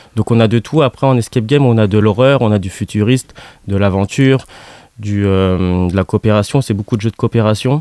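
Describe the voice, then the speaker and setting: With a dark, mellow tone and fairly low pitch, a man speaks at a fairly quick pace at a very even loudness, the sound dry and close with no echo. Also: ordinary pitch variation. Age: 20s. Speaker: leisure business co-owner. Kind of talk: radio interview.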